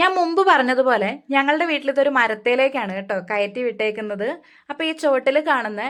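A woman with a high pitch makes very wide pitch swings on a very clean recording with a silent background. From Kerala, Wayanad. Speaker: home gardening vlogger. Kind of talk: tutorial. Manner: casual.

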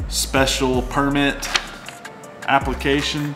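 A man talks at a very slow pace while clear music plays behind him. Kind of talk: casual vlog chat. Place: bar.

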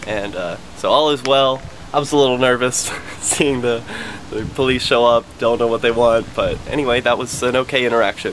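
Fairly quick delivery with fairly even intonation over light background noise. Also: man. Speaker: activist vlogger. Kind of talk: casual vlog chat. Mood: relieved, slightly nervous. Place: street. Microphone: phone near.

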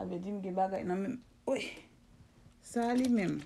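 Light background noise sits behind a woman whose tone is dark and mellow. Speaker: home remedy video blogger. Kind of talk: casual vlog monologue. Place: home room.

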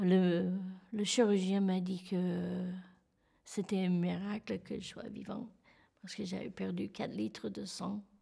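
A woman speaking very slowly, with long, frequent pauses, big swings in loudness and a quiet background. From California. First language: English (speaking French). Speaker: terror attack survivor. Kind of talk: testimony. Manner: halting. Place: studio.

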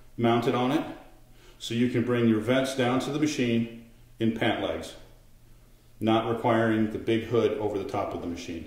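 Fairly even intonation broken by long, frequent pauses, with audible room echo. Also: man. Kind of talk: tutorial. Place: kitchen.

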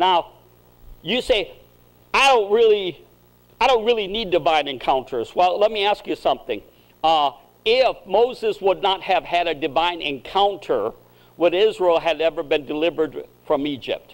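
The delivery moves at a moderate pace with long, frequent pauses. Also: man. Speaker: preacher. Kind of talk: sermon. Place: church.

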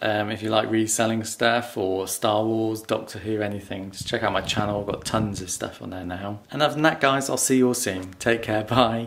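In an ordinary speaking voice, a man talks at a moderate pace and a fairly low pitch with fairly even intonation, over light background noise. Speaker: reselling vlogger. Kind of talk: casual vlog chat. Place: home room. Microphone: phone near.

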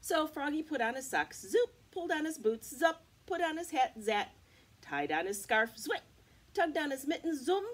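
A high-pitched woman speaks at a moderate pace with very wide pitch swings. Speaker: teacher. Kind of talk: read-aloud storytime for children. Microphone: webcam.

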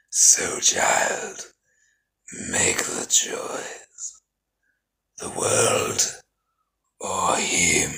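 A man puts on a raspy character voice at an extremely high pitch. He speaks at a very slow pace with long, frequent pauses. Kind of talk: film character voice impression. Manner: cold, solemn, detached.

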